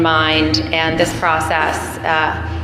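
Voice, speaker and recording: A woman speaks very slowly in a fairly low voice. The recording has audible room echo and noticeable background noise. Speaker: AA meeting speaker. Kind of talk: recovery testimony. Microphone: too far from the mic at first.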